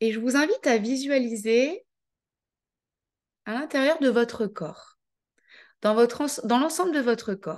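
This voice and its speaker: A woman speaks at a fairly slow pace. Her tone is calm. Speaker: life coach. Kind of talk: guided visualization; online coaching masterclass. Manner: calm, measured pace; soft, gentle.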